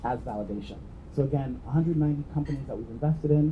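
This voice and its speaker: Audible room echo surrounds a man speaking very fast with an American accent. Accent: non-British, American. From New York, US, after immigrating from Jamaica. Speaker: venture investor, entrepreneur. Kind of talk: conference talk.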